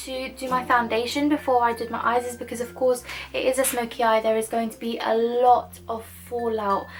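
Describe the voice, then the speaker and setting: Against noticeable background noise, a woman speaks at a moderate pace in a high pitch, her intonation monotone and flat and her loudness swinging widely. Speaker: makeup tutorial youtuber. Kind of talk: tutorial. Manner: casual, rambling with fillers.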